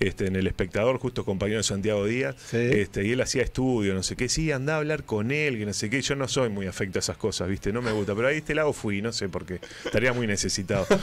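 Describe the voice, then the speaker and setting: Speaking at a medium pitch, a man talks very fast with lively intonation. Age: 40s. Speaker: radio host and writer. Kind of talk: casual interview chat.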